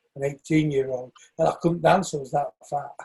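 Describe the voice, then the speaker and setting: The voice is somewhat breathy with a dark, mellow tone, in a northern English accent. Pitch variation is ordinary. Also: man. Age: 60s. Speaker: shoemaker and northern soul dancer. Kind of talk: interview.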